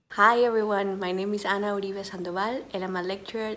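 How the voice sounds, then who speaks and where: Through noticeable background noise, a woman speaks at a fairly quick pace in a medium pitch with fairly even intonation. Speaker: university lecturer. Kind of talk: video message. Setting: home office. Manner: quiet.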